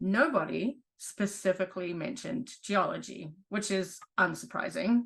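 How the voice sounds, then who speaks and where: Her voice carries vocal fry and lively intonation as the woman talks at a fairly slow pace with hardly any pauses. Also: medium pitch for a woman. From New Zealand. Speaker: geology professor. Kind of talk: online presentation.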